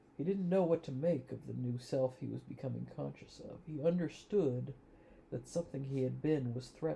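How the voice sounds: A speaker with a natural reading voice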